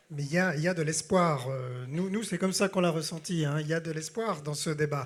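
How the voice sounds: Here a man talks at a fairly quick pace. His voice is fairly high, with ordinary pitch variation.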